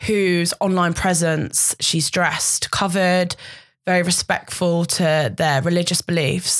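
In a plain, everyday voice, a woman speaks at a medium pitch and a fairly slow pace. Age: 20s. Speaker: model. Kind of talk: casual chat.

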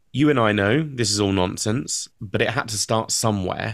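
In a very clean recording with a silent background, a man talks in a normal speaking voice, fairly low in pitch, at a moderate pace with ordinary pitch variation. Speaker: podcast host. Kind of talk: interview, podcast intro.

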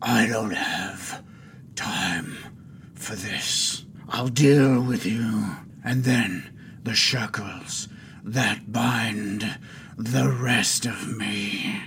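Using a put-on character voice at medium pitch, a man speaks very slowly with ordinary pitch variation and long, frequent pauses against clear background noise. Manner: dismissive, menacing.

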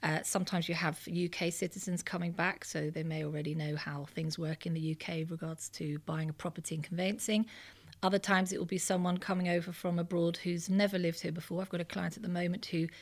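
Recorded very cleanly against a silent background, a woman talks at a very fast pace in a fairly low, somewhat breathy voice with fairly even intonation. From Netherlands. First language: Dutch. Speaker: property buying agent. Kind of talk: interview.

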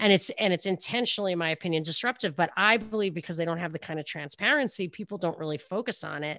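Speaking very fast with hardly any pauses, a woman with a New York accent has a bright, sharp tone, a fairly low pitch and ordinary pitch variation over a quiet background. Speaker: radio talk show host. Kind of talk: casual interview chat.

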